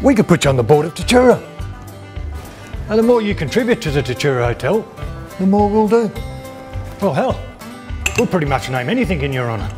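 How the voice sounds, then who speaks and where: Over clear music in the background, a man talks at a very fast pace in a high pitch. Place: bar.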